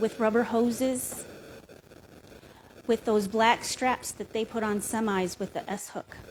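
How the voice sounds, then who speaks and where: In a Lakota accent, the speaker talks at a fairly slow pace with fairly even intonation and long, frequent pauses. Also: woman, fairly high pitch for a woman. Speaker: Native cultural educator on a panel. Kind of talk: panel discussion storytelling. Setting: live-streamed museum event.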